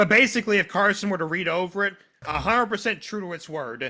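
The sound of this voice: The intonation is lively. The tone comes across bright and sharp. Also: man, high pitch for a man, fairly quick pace.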